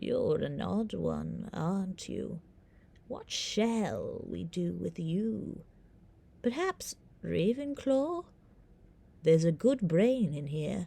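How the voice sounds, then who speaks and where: In a put-on character voice, a soft-spoken female-sounding speaker at a medium pitch talks very slowly with long, frequent pauses. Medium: read story. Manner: quiet, musing, knowing.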